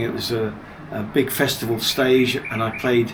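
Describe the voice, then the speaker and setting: A man speaks at a medium pitch and fairly slow pace, his intonation monotone and flat. Audible room echo and noticeable background noise fill the recording. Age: 70s. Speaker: music producer and DJ. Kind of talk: interview.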